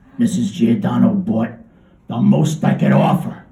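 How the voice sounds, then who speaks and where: A man's raspy, put-on character voice, fairly high in pitch, at a moderate pace, with a slight echo. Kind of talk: live literary reading. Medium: read story. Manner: deadpan, conversational.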